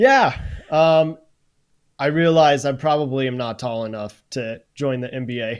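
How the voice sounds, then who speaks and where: A man talks in an unremarkable speaking voice of medium pitch, at a fairly slow pace. His pitch varies in an ordinary way, while his loudness swings widely. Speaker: content creator and streamer. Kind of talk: casual chat.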